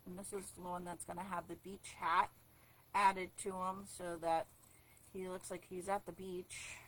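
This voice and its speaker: At a moderate pace, the voice keeps fairly even intonation while its loudness swings widely. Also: woman. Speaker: card-making demonstrator. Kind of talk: live craft tutorial. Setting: livestream. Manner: hesitant, many fillers; quiet while focusing.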